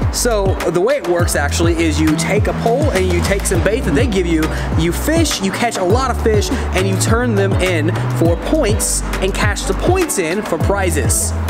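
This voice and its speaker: Loud music plays behind a man speaking at a moderate pace. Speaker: travel vlogger. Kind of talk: casual vlog chat. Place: street. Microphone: phone near.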